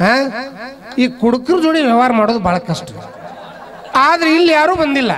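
A man's extremely high-pitched voice in a North Karnataka accent, very even in loudness, over light background noise. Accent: North Karnataka Kannada. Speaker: stand-up comedian; school teacher. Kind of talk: stand-up comedy to live audience. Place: stage. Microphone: handheld.

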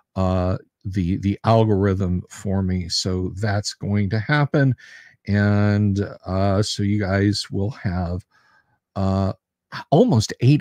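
Very slowly and with fairly even intonation, a man speaks in a fairly low pitch and a dark, mellow tone, over a quiet background with dry sound and no echo. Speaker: live stream host. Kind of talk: casual live stream chat. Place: home room. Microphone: studio mic.

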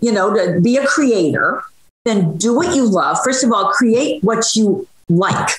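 The speaker's pitch swings very widely, and room echo is audible. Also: woman. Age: 70s. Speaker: social media cooking creator. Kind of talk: interview answer. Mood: warm, encouraging. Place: home room. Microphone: video call.

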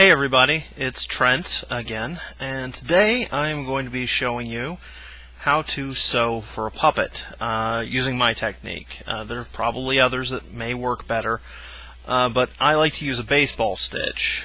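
Dry sound with no echo, a man speaking at a moderate pace. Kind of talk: tutorial. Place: home room. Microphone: headset.

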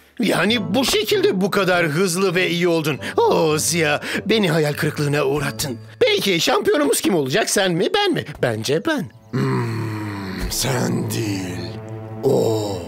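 A woman puts on a cartoonish character voice with a low pitch, big pitch swings and vocal fry. She speaks at a fairly slow pace over faint music in the background.

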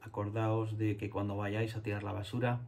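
A man speaks in a dark, mellow tone that is somewhat breathy. His intonation is monotone and flat. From Spain, Andalusia (Jerez); Andalusia, Spain. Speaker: illustrator and children's book author. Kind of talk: talk to schoolchildren. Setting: home studio. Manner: halting, many fillers. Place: home room.

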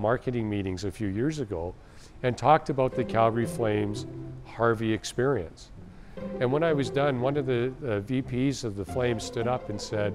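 Clear music plays in the background. The speech has a moderate pace and ordinary pitch variation. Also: man. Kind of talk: interview answer. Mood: relaxed, enthusiastic. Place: workshop.

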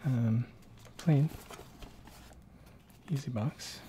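Over light background noise, a soft-spoken voice speaks at a very slow pace. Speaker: tech reviewer. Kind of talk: ASMR-style unboxing and casual tech review.

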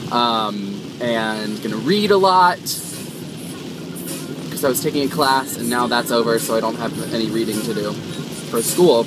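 Dry sound with no echo and music in the background. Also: man. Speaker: vlogger driving. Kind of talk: casual vlog chat. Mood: cheerful, relaxed. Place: car. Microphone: phone near.

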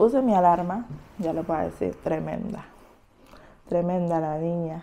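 A woman's fairly low-pitched voice carries ordinary pitch variation. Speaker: vlogger. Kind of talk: casual vlog chat. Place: kitchen. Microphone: lapel.

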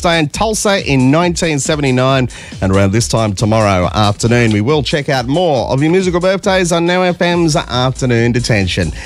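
A man at a fairly quick pace with very wide pitch swings and hardly any pauses, faint music in the background, dry sound with no echo. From Australia. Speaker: radio presenter. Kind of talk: radio presenter aircheck, upbeat on-air banter. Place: studio. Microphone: studio mic.

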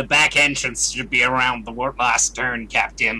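A put-on character voice from a man, pitched in the middle range, at a moderate pace. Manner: formal, deadpan, sarcastic.

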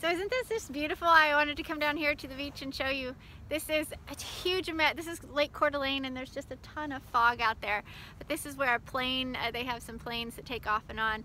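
This woman uses a raised, projected voice at a high pitch, with a bright, sharp tone and ordinary pitch variation. She talks at a fairly quick pace with big swings in loudness, in a dry sound with no echo over light background noise. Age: 40s. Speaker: ministry leader and online show host; online show host. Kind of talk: casual video invitation. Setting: outdoors by a lake. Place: beach. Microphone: phone near.

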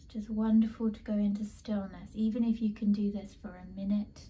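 Somewhat breathy, a woman speaks in a dark, mellow tone with monotone, flat intonation. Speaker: art teacher, wellbeing coach. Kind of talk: guided meditation. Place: home room. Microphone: phone near.

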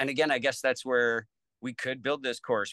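Over a quiet background, a man speaks at a fairly quick pace in a bright, sharp tone with monotone, flat intonation and a dry sound with no echo. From Lethbridge, Alberta, Canada. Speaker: battery technician. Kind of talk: interview answer. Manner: casual, conversational. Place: home room. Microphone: video call.

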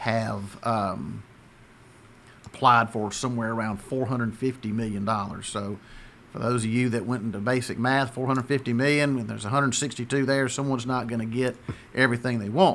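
The man's fairly slow speech keeps a fairly even intonation, with light background noise behind it. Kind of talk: interview answer. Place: office. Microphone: studio mic.

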